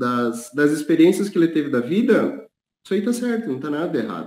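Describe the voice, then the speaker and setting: Lively intonation rides over a dark, mellow tone. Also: man. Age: 30s. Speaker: planning analyst. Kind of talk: interview testimony.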